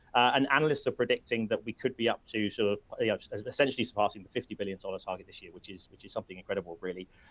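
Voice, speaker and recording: With a British accent, a man of medium pitch is heard in a dry, close sound with no echo. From UK. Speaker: webinar host, company representative. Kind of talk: webinar presentation. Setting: live webinar. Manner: halting, many fillers and repetitions.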